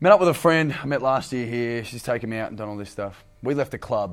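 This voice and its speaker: A man with an Australian accent talks at a very fast pace and a medium pitch. His intonation is lively, with music playing in the background. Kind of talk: casual podcast chat.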